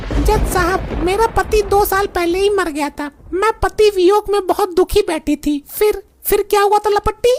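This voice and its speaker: In a cartoonish character voice, a female-sounding speaker talks at an extremely high pitch and a moderate pace. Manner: earnest, naive.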